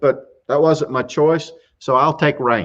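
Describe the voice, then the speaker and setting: Speaking at a very slow pace with a Southern US accent, a man uses a fairly high pitch. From US South, South Carolina. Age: 60s. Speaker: YouTube show host, workamper. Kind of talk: live stream casual chat, answering questions. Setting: live stream from RV campground.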